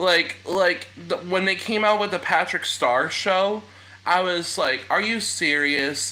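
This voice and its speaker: Over noticeable background noise, a man with an American accent speaks very slowly at a high pitch, with ordinary pitch variation. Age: 20s. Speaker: live streamer. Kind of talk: casual chat. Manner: halting.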